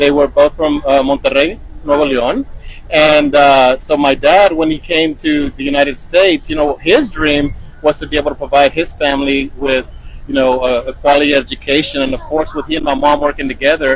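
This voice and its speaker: Against noticeable background noise, a man talks at a fairly quick pace with a fairly high pitch and monotone, flat intonation. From Texas, Baytown. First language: Spanish. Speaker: school superintendent. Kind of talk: interview answers. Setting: on a school bus.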